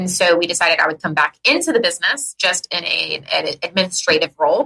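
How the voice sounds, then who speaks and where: A loud woman's voice, bright and sharp in tone, animated and fairly quick. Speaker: podcast co-host; business owner. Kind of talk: casual chat. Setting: podcast recording.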